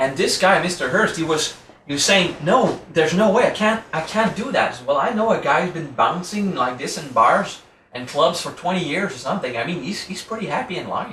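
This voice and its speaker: A man with a French accent and a high pitch talks at a fairly quick pace with lively intonation. Noticeable background noise and audible room echo fill the recording. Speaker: spiritual teacher. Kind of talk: lecture. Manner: casual, conversational.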